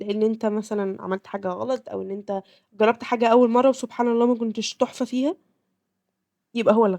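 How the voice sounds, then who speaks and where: A woman with an Egyptian accent, fairly high in pitch with a dark, mellow tone and ordinary pitch variation, in dry, close sound with no echo. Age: 20s. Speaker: podcast host. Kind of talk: casual podcast talk.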